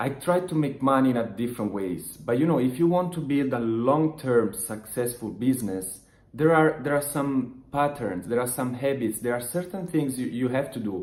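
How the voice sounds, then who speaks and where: Speech in an Italian accent moves at a moderate pace with ordinary pitch variation and hardly any pauses. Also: man, medium pitch for a man. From Italy. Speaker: online business motivational vlogger. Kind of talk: motivational talk to camera. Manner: halting, many restarts and fillers.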